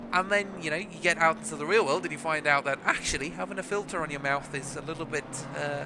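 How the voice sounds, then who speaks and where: A man talks at a very fast pace with a fairly high pitch and ordinary pitch variation. Noticeable background noise runs underneath. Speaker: sim racing commentator. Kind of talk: live commentary. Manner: stuttering, halting.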